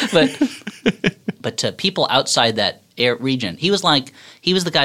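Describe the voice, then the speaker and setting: Very clean recording with a silent background, capturing a man's bright, sharp tone with an American accent. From New Jersey. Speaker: comedy writer and podcaster. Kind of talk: casual chat. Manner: animated.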